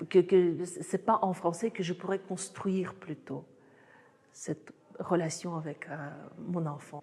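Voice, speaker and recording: A somewhat breathy woman with a fairly low pitch speaks at a very slow pace with long, frequent pauses, fairly even intonation and big swings in loudness. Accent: Russian. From Russia, Saratov on the Volga. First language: Russian (speaking French). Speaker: author and artist. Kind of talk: book presentation talk. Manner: halting with many hesitations.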